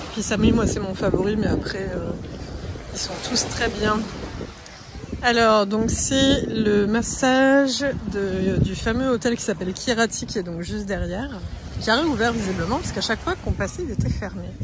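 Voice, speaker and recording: Against noticeable background noise and audible room echo, a woman with a fairly high voice speaks with long, frequent pauses. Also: ordinary pitch variation, moderate pace. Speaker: travel vlogger. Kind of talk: casual vlog walkthrough. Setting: outdoors on a beach.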